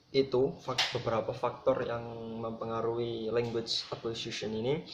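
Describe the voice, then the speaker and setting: A medium-pitched man at a moderate pace, with audible room echo. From Java, Indonesia. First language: Javanese (speaking Indonesian). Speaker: student presenter. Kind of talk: lecture.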